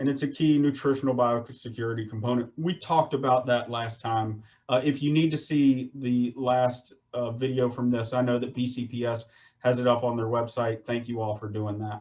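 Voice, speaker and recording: With a Southern US accent, a man speaks at a medium pitch and a moderate pace with fairly even intonation. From US South, Virginia (Shenandoah Valley). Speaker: poultry industry speaker on water treatment. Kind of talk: webinar presentation. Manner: casual, repetitive for emphasis.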